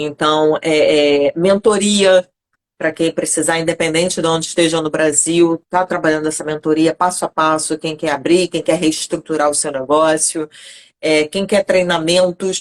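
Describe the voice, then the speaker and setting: A woman with a fairly low pitch talks at a fairly slow pace in monotone, flat intonation. The sound is dry and close with no echo. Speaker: lawyer and consultant for health professionals. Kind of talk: live online interview. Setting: online live stream.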